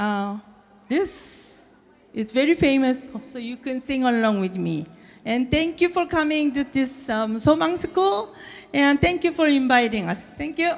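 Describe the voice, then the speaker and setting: A woman speaks with a Korean accent at a high pitch. Her intonation is lively and her pace fairly slow. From South Korea, moved to US as a child. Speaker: violinist. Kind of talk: speech to an audience. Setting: stage with audience. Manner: halting.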